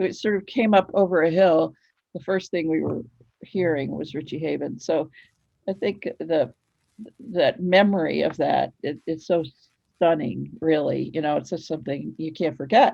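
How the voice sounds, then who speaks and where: A woman with a very deep, low pitch and vocal fry speaks at a moderate pace with ordinary pitch variation. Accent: American. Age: 70s. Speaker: author. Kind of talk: interview.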